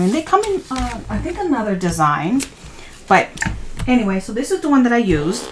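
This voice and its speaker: A woman with a non-native accent talks at a moderate pace over noticeable background noise. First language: not English. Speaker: crafting YouTuber. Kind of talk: tutorial. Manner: casual, halting.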